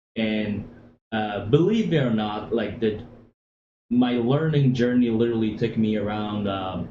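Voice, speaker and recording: Audible room echo surrounds a man talking at a moderate pace in a fairly low pitch with fairly even intonation. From Afghanistan. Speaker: former military interpreter, financial services worker. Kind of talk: interview. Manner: hesitant, many fillers.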